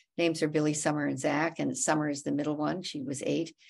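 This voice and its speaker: With vocal fry, the speaker keeps a moderate pace against a quiet background. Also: woman. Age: 70s. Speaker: activist and author. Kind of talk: interview. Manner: halting.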